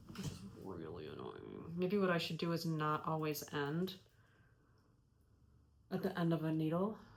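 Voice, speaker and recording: Mumbling, a woman speaks at a fairly low pitch. She leaves long, frequent pauses. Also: ordinary pitch variation, moderate pace. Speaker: knitting podcaster. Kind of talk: casual talk to camera. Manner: mumbling, hesitant.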